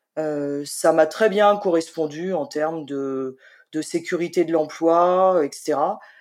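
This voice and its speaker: A woman at a fairly low pitch, in a very clean recording with a silent background. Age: 50s. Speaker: freelance writer, former civil servant. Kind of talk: interview conversation. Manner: hesitant, many fillers.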